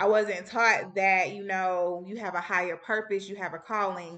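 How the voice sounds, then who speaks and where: Her tone is bright and sharp at a medium pitch. The woman speaks at a moderate pace. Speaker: spiritual healing coach, podcast host. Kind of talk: solo podcast monologue. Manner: casual, laughs often.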